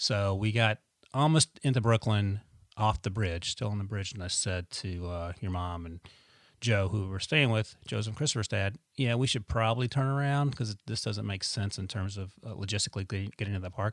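An unremarkable speaking voice, a man's, is fairly low-pitched and moves at a fairly quick pace with ordinary pitch variation. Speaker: parent podcast host. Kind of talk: casual chat with child.

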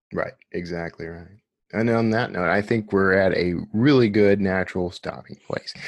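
A man with an American accent, fairly low in pitch, at a moderate pace with ordinary pitch variation. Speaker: podcast host and author. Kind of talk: casual interview chat.

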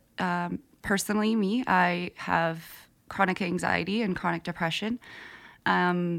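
A woman speaks in a normal speaking voice, fairly low in pitch, at a moderate pace. Her intonation stays fairly even on a very clean recording with a silent background. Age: 20s. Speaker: podcast host. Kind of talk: casual interview.

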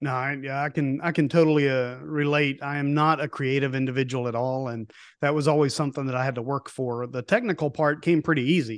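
Against a quiet background, a man speaks very fast with hardly any pauses, fairly high pitch and fairly even intonation. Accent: Appalachian. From East Tennessee. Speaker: podcast host, nature photographer. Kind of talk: casual chat.

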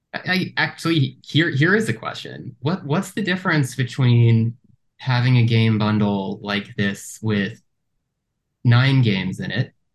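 This man talks at a fairly slow pace in a medium pitch, his voice somewhat breathy and his intonation lively. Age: 30s. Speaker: podcast host. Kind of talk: casual chat. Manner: halting, repeats words.

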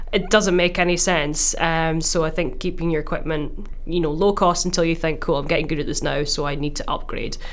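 With a Glaswegian accent, a woman talks at a fairly quick pace with hardly any pauses. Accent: Scottish, Glaswegian. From Glasgow, Scotland. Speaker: musician and podcast co-host. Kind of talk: casual chat. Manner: laughs often, chatty.

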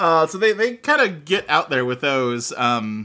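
At a very slow pace, a man speaks in a bright, sharp tone, his pitch swinging very widely. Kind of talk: casual chat.

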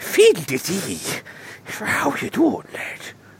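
A man puts on a character voice in an Irish accent, pitched high. He talks at a fairly slow pace. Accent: exaggerated Irish. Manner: mocking.

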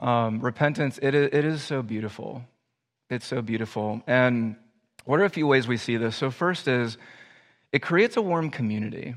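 A man's plain, everyday voice at a medium pitch and moderate pace, with ordinary pitch variation and a quiet background. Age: 30s. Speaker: pastor. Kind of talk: sermon. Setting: church.

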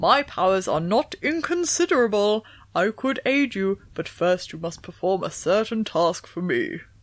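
It is a put-on character voice, resonant and fairly high in pitch. The pitch swings very widely. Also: moderate pace, hardly any pauses.

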